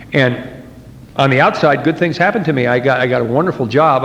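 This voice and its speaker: A man with an American accent, with audible room echo and noticeable background noise. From New Jersey, US. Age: 50s. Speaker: recovering alcoholic speaker. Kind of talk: twelve-step speaker talk. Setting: meeting hall with audience. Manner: conversational, with repetitions and false starts.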